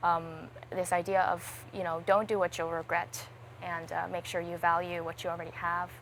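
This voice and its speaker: Speaking with a New York accent, a woman keeps a moderate pace, a fairly low pitch and a fairly even intonation. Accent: American (New York). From US, New York City. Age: 20s. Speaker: singer-songwriter and streamer. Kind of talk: casual interview chat.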